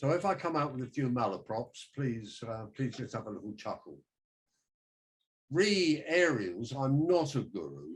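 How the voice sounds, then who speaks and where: Swinging very widely in pitch, a man speaks in a somewhat breathy voice. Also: medium pitch for a man, moderate pace. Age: 70s. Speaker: amateur radio enthusiast. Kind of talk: talk to a club. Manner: halting.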